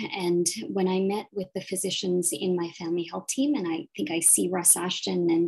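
A woman talks at a fairly quick pace against a quiet background. Her pitch is fairly low and her intonation fairly even. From Nova Scotia, Canada. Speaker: family physician, department chief. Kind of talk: panel discussion. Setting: video call. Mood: warm, reflective. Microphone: video call.

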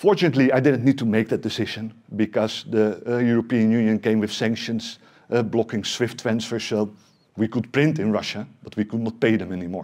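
Over a quiet background, a man with a Dutch accent talks with ordinary pitch variation. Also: fairly quick pace. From Netherlands. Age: 40s. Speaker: tech company CEO; presenter. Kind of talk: conference talk. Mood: serious, emotional story. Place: meeting room. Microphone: headset.

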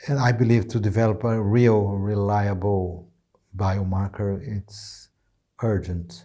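A man's dark, mellow voice, fairly low in pitch, with fairly even intonation and a very slow pace against a quiet background. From Brazil, inner region. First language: Portuguese. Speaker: neurology professor. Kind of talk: interview. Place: studio. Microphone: lapel.

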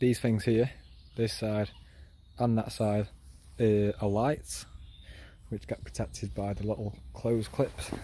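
A man talks at a fairly slow pace with long, frequent pauses, and the sound is dry with no echo. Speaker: explorer vlogger. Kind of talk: casual walkthrough commentary. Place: waterside. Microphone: phone near.

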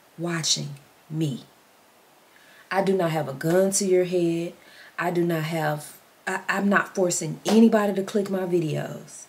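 A woman talks in a Southern US accent at a fairly low pitch. Her fairly slow delivery is broken by long, frequent pauses. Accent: Southern US, country. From Mississippi. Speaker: vlogger. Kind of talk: casual vlog chat. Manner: animated; feisty. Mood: earnest, pleading. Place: home room. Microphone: phone near.

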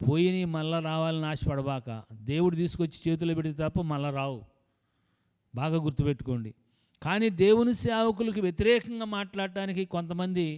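The pitch of this man's voice sits high. He speaks with lively intonation. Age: 70s. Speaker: pastor. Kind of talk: sermon.

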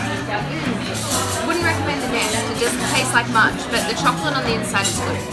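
With loud music in the background, a woman speaks with hardly any pauses. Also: moderate pace. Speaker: vlogger reviewing a cafe. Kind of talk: casual vlog chat. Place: cafe. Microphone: phone near.

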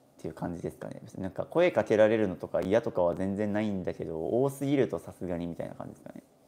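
Talking at a very fast pace with hardly any pauses, a man with a fairly low pitch and a dark, mellow tone uses lively intonation and big swings in loudness. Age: 20s. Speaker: minimalist YouTuber. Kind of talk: casual live stream talk. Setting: hotel room in Okinawa. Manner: animated. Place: home room. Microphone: phone near.

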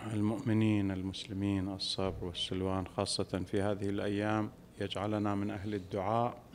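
Against light background noise, a man with a fairly low pitch speaks at a fairly slow pace in a monotone, flat intonation. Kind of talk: sermon. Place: hall. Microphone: podium.

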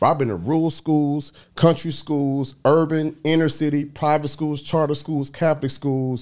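A man talks at a moderate pace with hardly any pauses. The background is quiet. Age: 40s. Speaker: speaker coach. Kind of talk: casual chat. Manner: animated. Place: studio. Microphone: studio mic.

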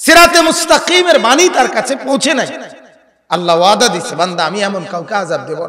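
A man's raised, projected voice at high pitch, animated in tone, with very wide pitch swings, big swings in loudness and light background noise. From Bangladesh. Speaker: Islamic preacher. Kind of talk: sermon. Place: stage. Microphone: handheld.

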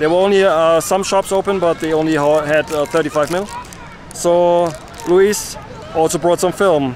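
With crowd noise in the background, a man speaks high-pitched and fairly slowly, his intonation fairly even and the sound dry with no echo. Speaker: street photographer vlogger. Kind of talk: casual vlog chat. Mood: cheerful, relaxed. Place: open country.

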